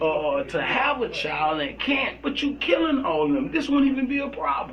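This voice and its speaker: An extremely high-pitched male voice with an American accent, lively intonation and a fairly slow pace, with audible room echo and noticeable background noise. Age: 40s. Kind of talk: casual chat. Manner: animated.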